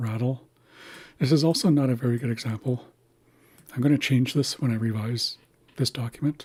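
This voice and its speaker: A man talks at a fairly quick pace, somewhat breathy, with fairly even intonation. Long, frequent pauses break up his speech. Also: medium pitch for a man. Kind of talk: tutorial.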